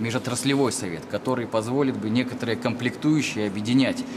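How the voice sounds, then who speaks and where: The speaker is a man with a medium-pitched voice. He talks at a moderate pace amid noticeable background noise. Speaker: chief design engineer. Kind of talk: formal question at meeting.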